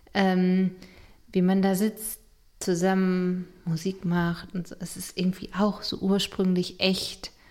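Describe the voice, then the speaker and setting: Her pitch medium and her intonation flat and monotone, a woman speaks at a very slow pace. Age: 40s. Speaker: family counselor and podcast co-host. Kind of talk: casual chat.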